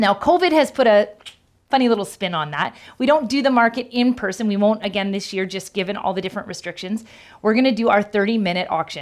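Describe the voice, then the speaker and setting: Lively intonation runs through this extremely rapid delivery. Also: woman, medium pitch for a woman. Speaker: church staff member. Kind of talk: church announcement. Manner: fast.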